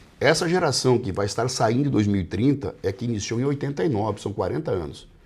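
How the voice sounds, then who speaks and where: Somewhat breathy, a man talks at a very fast pace. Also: medium pitch for a man, lively intonation. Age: 60s. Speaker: politician. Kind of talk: interview. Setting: office.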